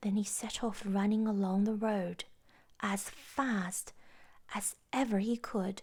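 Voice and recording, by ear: With fairly even intonation, a natural voice reads the text out loud.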